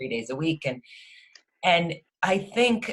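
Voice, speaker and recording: A woman's very deep, low voice, somewhat breathy, at a very slow pace. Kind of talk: interview host conversation.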